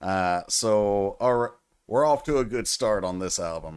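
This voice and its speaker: A man with a Southern US accent speaks very slowly at a fairly low pitch with lively intonation. The recording is very clean, with a silent background. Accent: Southern drawl. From US South, Tennessee. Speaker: music reaction youtuber. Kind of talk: casual music reaction commentary. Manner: animated.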